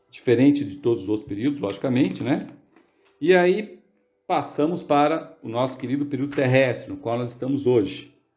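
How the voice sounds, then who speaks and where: Lively intonation from a man with a fairly high pitch, moderate pace and audible room echo. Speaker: study group leader. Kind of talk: lecture. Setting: video call.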